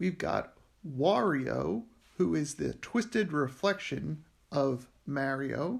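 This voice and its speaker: Speaking very slowly with an American accent, a man is captured in a very clean recording with a silent background. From Philadelphia, US. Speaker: linguist. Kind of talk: lecture. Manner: casual, with frequent fillers.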